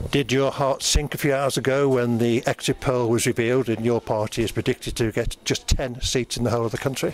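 A man at a fairly quick pace, monotone and flat, with very even loudness, hardly any pauses, light background noise and a dry sound with no echo. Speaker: local video reporter interviewing election candidates. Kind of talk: on-the-spot interviews at an election count. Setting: outdoors at polling station, then election count venue. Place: gym.

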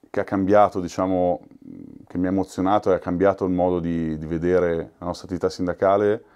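Very deep, low male voice, dark and mellow in tone, against a quiet background. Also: long, frequent pauses. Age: 40s. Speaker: union workplace representative. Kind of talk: documentary interview. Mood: reflective, moved. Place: office.

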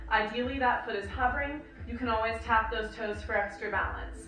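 A woman talks at a moderate pace. Audible room echo and light background noise surround her voice. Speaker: fitness and yoga instructor. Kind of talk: instructional workout cueing, talking viewers through yoga-based strength combos. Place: home room.

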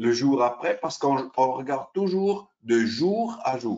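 Behind the voice, the background is quiet. A man is the one talking. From Switzerland, Italian family. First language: Italian (speaking French). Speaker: derivatives exchange sales specialist; presenter. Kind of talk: webinar presentation. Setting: online webinar. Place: home room. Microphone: webcam.

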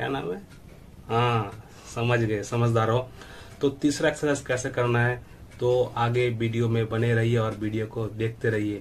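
Fairly slow, flat monotone speech over light background noise. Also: man. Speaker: fitness youtuber. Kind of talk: casual tutorial chat.

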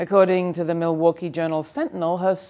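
Her pitch sits in the medium range. The speaker is a woman. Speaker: political commentator. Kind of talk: news commentary. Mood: wry, critical. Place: studio. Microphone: lapel.

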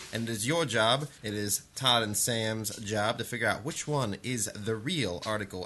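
An unremarkable speaking voice from a man with an American accent, medium pitch, ordinary pitch variation, and a moderate pace. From northern Ohio. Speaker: podcast co-host. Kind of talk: casual chat.

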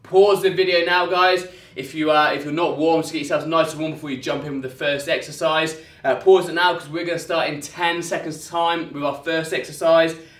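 Over audible room echo, a man talks at a fairly quick pace in a monotone, flat intonation. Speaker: fitness trainer. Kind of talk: workout tutorial. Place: gym. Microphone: camera far.

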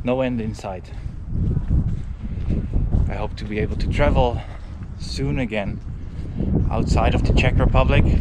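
Over loud background noise, the speech moves at a fairly quick pace with a dry sound and no echo. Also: man. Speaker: travel vlogger. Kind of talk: casual vlog chat. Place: open country. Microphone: phone near.

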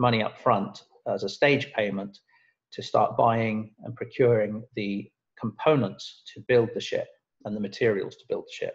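A man talks in a somewhat breathy voice. The background is quiet. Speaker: presenter. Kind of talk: lecture. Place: home room. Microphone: webcam.

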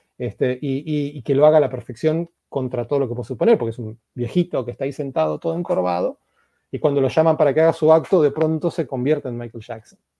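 The sound is dry with no echo and a quiet background. A man speaks at a very fast pace. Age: 40s. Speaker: novelist and translator; interviewee. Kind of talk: interview. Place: home room. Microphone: earbuds.

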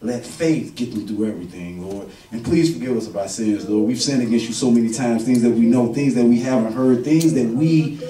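The speech moves at a fairly quick pace, with audible room echo and light background noise. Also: man, ordinary pitch variation. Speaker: pastor. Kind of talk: sermon prayer. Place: church.

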